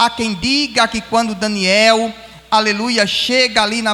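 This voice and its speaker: A man's raised, projected voice, high in pitch, at a fairly slow pace over noticeable background noise. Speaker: pastor. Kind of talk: sermon. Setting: church.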